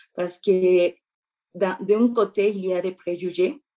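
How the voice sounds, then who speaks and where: In a Spanish accent, a woman talks at a fairly slow pace and medium pitch. Her tone is dark and mellow, with fairly even intonation. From Mexico, Metepec. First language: Spanish (speaking French). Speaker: puppeteer and actor. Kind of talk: interview testimony.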